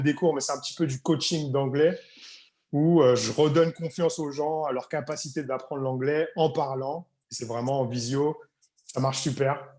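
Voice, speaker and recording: A man's fairly high yet dark, mellow voice, at a fairly slow pace with fairly even intonation. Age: 30s. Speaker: English coach, tour guide. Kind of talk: interview conversation.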